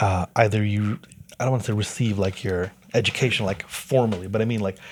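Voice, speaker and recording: A man speaks in a normal speaking voice with a fairly low pitch and fairly even intonation. His pace is moderate, and the recording is very clean with a silent background. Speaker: podcast host and music producer. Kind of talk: casual chat. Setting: on the road in Edmonton.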